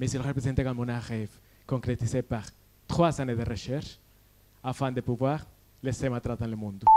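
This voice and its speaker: A man with a slight Colombian accent and a dark, mellow tone talks at a fairly quick pace, broken by long, frequent pauses. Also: medium pitch for a man, fairly even intonation. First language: Spanish (speaking French). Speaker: PhD student. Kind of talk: science pitch competition talk. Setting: stage with audience.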